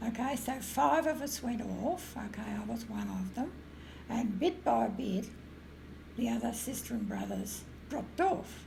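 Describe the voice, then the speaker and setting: A woman talks at a fairly slow pace. Room echo can be heard. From rural Victoria, Australia. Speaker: retired music teacher. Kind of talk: interview storytelling. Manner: halting, filler-heavy.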